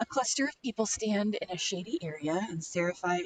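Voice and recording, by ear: The text is read aloud in a natural voice whose intonation is lively.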